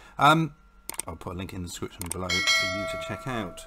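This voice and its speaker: A man talks over noticeable background noise. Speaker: card game youtuber. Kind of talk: casual video, opening cards. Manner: friendly, upbeat. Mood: upbeat, pleased.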